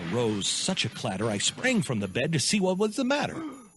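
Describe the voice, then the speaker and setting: Noticeable background noise runs under a man whose pitch swings very widely. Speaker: radio host. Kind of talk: dramatic poetry reading. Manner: dramatic.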